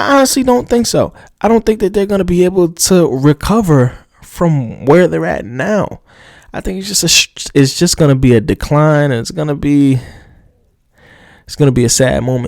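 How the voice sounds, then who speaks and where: A man with an American accent speaks at a moderate pace in a fairly high voice, his pitch swinging very widely, on a very clean recording with a silent background. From New Jersey. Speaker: motorsport podcast host. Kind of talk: solo podcast commentary. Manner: many filler sounds (uh, um); hesitant, repeated words.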